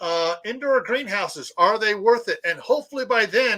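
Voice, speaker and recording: A man's raised, projected voice, bright and sharp in tone, at a fairly slow pace. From US Midwest. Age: 60s. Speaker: prepping channel host. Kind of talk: live stream chat.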